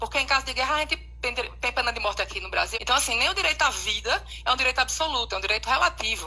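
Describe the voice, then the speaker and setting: Talking at a very fast pace with hardly any pauses, a woman is heard against noticeable background noise. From Pernambuco, Brazil. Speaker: law professor. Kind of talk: live video discussion. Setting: online live stream.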